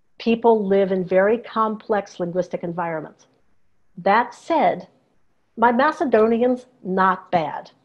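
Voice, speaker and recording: A woman's medium-pitched, unremarkable speaking voice, with ordinary pitch variation and a fairly slow pace. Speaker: professor of Slavic languages. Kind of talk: interview on video call. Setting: video call.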